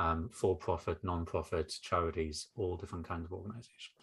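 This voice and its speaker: A man with a northeast English accent speaks at a moderate pace. His very deep, low pitch carries a bright, sharp tone and fairly even intonation. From northeast England. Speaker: education consultant and former teacher. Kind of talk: interview conversation. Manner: humorous, relaxed.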